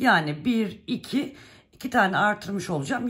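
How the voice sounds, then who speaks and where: Delivered at a moderate pace, the speech sits on a very clean recording with a silent background. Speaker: knitting channel host. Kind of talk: tutorial.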